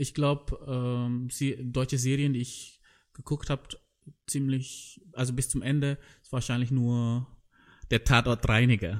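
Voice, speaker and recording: A man with a non-native accent, medium pitch and monotone, flat intonation, at a fairly slow pace with long, frequent pauses, on a very clean recording with a silent background. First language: not German (speaking German). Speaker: podcast host. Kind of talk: casual chat. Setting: in a tent.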